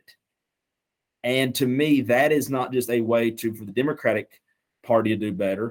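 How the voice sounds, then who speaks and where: A man at medium pitch with a Southern accent, at a moderate pace and with fairly even intonation. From Western North Carolina, Canton. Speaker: small-town mayor. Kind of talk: podcast interview. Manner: impassioned.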